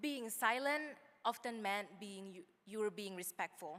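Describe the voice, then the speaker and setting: Her tone is bright and sharp, and her intonation is lively. The woman speaks at a fairly slow pace. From outside the US. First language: not English. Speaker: student graduation speaker. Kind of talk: commencement speech.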